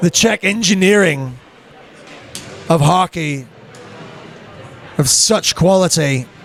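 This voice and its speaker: A man with a high pitch talks at a very slow pace with long, frequent pauses over noticeable background noise. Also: ordinary pitch variation. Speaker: sports commentator. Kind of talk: live commentary. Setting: live stream from a rink.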